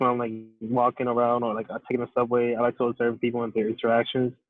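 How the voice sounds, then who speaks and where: This is a man with an American accent and a medium pitch. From New York City. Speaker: interviewee. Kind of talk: casual chat. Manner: halting.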